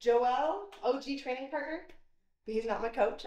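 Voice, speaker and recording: Over a quiet background with audible room echo, a woman talks fairly quickly with lively intonation. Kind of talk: casual vlog chat. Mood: upbeat, friendly. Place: garage. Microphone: camera far.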